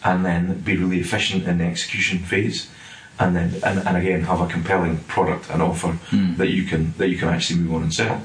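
Over noticeable background noise, a man with a Scottish accent and a very deep, low pitch speaks fairly quickly in a monotone, flat intonation. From Scotland. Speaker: property development director. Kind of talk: casual interview.

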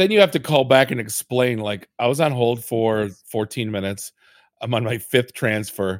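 On a very clean recording with a silent background and dry, close sound with no echo, a man speaks in a normal speaking voice at a medium pitch and moderate pace with ordinary pitch variation. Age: 40s. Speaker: podcast host. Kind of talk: casual chat. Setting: studio.

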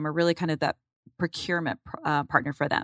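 An unremarkable speaking voice from a woman with ordinary pitch variation, in a dry, close sound with no echo and a very clean recording with a silent background. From Arizona, Phoenix area. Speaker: company executive. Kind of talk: interview. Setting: studio.

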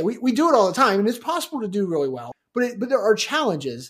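This is a man speaking. His pitch is high. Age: 40s. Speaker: software consultant and trainer. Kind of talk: casual chat. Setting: remote audio interview.

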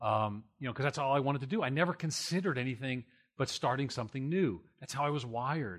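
A very fast-talking man with an American accent and lively intonation. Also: very clean recording, silent background. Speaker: church planting researcher and pastor. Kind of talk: conference panel discussion. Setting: stage with audience. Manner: loud; fast talker.

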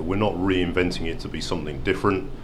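A man with a British accent talks at a fairly quick pace with ordinary pitch variation. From UK. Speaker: car company executive. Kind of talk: interview. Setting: auto show.

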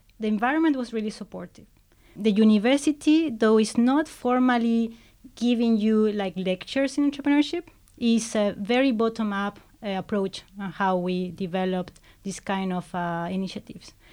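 A woman with a fairly high voice and a Spanish accent, talking at a moderate pace. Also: ordinary pitch variation. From Chile. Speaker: startup founder and CEO. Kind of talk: interview. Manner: halting.

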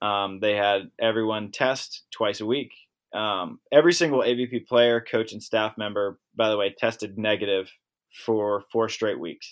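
In an American accent, an ordinary speaking voice moves at a moderate pace with fairly even intonation. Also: man, fairly low pitch for a man. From Maryland, US. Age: 20s. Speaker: professional beach volleyball player. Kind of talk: casual interview.

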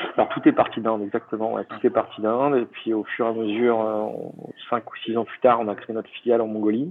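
An ordinary speaking voice, a man at medium pitch and moderate pace. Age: 30s. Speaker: travel entrepreneur. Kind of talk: interview.

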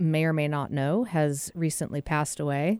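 With an ordinary speaking voice, a woman talks at a fairly low pitch with ordinary pitch variation, in a dry, close sound with no echo. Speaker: radio host. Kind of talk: casual interview chat.

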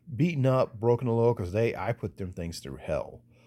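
A man's dark, mellow voice in a Southern US accent, on a very clean recording with a silent background. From US South. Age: 40s. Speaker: podcast host. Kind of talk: casual monologue.

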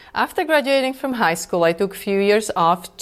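A woman with a Czech accent speaks at a moderate pace and medium pitch in a very clean recording with a silent background. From Czech Republic. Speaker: lawyer and export control director. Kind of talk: interview.

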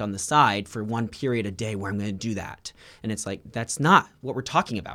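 Fairly low male speech at a fairly quick pace with ordinary pitch variation, on a very clean recording with a silent background. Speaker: school principal. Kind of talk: interview. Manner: animated.

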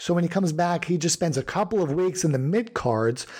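A man's voice with ordinary pitch variation on a very clean recording with a silent background. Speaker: wrestling history podcast co-host. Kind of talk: casual chat. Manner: halting.

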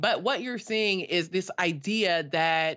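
With an American accent, a woman speaks at a medium pitch with ordinary pitch variation in an ordinary speaking voice. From US West Coast, South Los Angeles. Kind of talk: casual chat.

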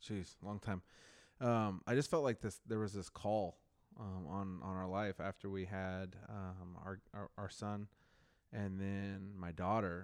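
An unremarkable speaking voice from a man with an American accent, fairly low in pitch, at a fairly slow pace with fairly even intonation, on a very clean recording with a silent background. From Marysville, Washington. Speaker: podcast co-host. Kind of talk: casual chat.

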